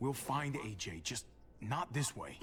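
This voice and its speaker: Growling in a put-on character voice, a man speaks at a fairly slow pace and medium pitch with lively intonation, clear background noise behind him. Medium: video game.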